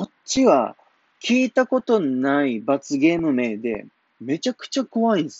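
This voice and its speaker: This man talks in a Kumamoto accent at a moderate pace. His pitch swings very widely. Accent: Kumamoto dialect (Kyushu). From Japan, Kumamoto. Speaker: comedian. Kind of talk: casual solo talk.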